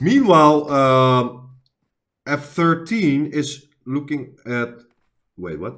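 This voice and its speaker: A man with a non-native accent speaks very slowly, leaving long, frequent pauses. His pitch is fairly high, with ordinary variation. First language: not English. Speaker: esports caster, channel owner. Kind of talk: live commentary. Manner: halting.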